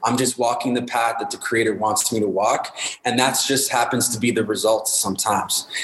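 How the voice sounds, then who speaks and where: Noticeable background noise sits under a voice with a Canadian accent and monotone, flat intonation. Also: man, medium pitch for a man, fairly quick pace. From Winnipeg, Manitoba, Canada. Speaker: hip hop artist and youth worker. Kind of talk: casual interview.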